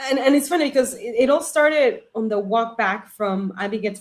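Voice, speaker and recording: A woman with a non-native accent, moderate pace and ordinary pitch variation. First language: not English. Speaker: reality game contestant. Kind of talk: casual interview chat.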